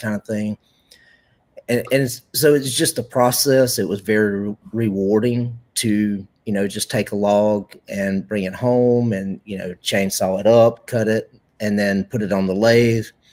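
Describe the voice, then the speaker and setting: On a very clean recording with a silent background, a man with a Southern US accent speaks at a fairly slow pace, his pitch fairly low and his intonation fairly even. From Carolinas, US South. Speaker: pen maker. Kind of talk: casual chat. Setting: live stream.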